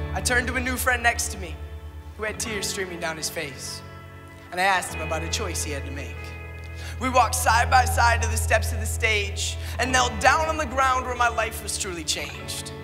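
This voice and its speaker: A man keeps a fairly quick pace while music plays in the background. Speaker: spoken word poet. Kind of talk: spoken word poetry performance. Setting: church.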